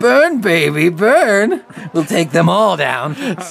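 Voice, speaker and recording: Someone uses a put-on character voice at a middle pitch, speaking very slowly. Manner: excited, urgent.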